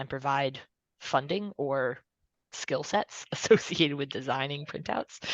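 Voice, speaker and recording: A woman speaks with very deep, low pitch and vocal fry. The sound is dry and close with no echo, over a quiet background. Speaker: working group co-organizer. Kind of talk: online meeting discussion.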